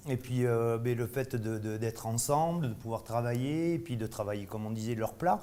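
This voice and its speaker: This man has a Bordeaux accent and a dark, mellow tone. His medium-pitched voice keeps a moderate pace with ordinary pitch variation. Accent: Bordeaux accent, kept. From Bordeaux, southwest France. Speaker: chef. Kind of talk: casual interview during tasting. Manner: halting, many fillers.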